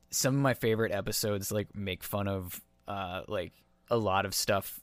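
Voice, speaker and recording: Moving at a moderate pace, a man with a fairly low pitch speaks with fairly even intonation. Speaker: podcast host. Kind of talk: podcast conversation. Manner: sarcastic.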